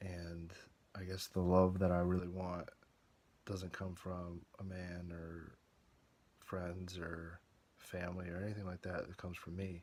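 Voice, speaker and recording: A quiet man mumbles in a put-on character voice with a very deep, low pitch, monotone, flat intonation, a moderate pace and long, frequent pauses. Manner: mumbling, quiet.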